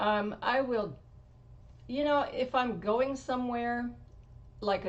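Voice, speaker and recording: A woman's fairly high voice with an American accent, ordinary pitch variation and audible room echo. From Washington State. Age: 60s. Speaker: motorcycle rider. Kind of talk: interview.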